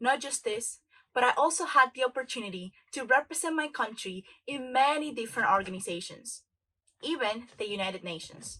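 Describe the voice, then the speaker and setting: A woman's high, bright and sharp voice, raised and projected, with very wide pitch swings at a moderate pace. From Dominican Republic. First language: Spanish. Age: 20s. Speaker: motivational speaker. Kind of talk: motivational talk.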